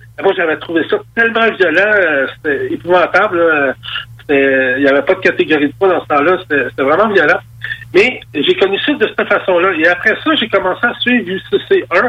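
Noticeable background noise accompanies a man's high voice, his intonation lively and his loudness very even throughout. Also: moderate pace. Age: 50s. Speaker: MMA promoter. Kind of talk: radio interview.

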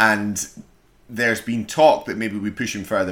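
The speaker talks at a fairly quick clip in a Scottish accent. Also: man. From Scotland. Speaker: podcast co-host. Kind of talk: casual chat.

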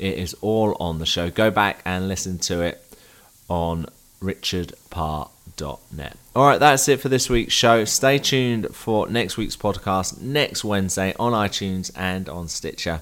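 Fairly low in pitch, a man with a southern English accent speaks at a fairly slow pace with lively intonation. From southern England. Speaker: podcast host. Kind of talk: interview.

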